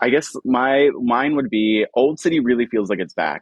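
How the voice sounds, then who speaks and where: A man with an American accent uses an ordinary speaking voice at a moderate pace, with lively intonation. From Philadelphia, Fishtown. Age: 30s. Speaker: art blogger and podcast host. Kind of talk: casual chat.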